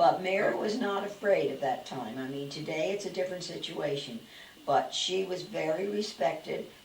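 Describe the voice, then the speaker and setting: There is noticeable background noise. A woman with a medium pitch talks at a moderate pace with lively intonation. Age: 80s+. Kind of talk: interview answer.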